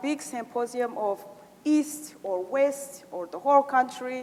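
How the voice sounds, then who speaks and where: A woman speaks very slowly at a high pitch, with very wide pitch swings. Background noise is noticeable. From Rwanda. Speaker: genocide survivor, community organizer. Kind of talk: conference Q&A remarks. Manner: halting, many fillers.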